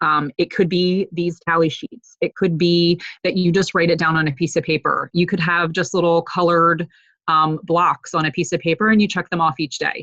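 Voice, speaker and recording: At a moderate pace, a woman talks in a normal speaking voice with fairly low pitch and fairly even intonation. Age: 40s. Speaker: fitness coach. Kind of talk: online group call tutorial. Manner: filler-heavy, casual.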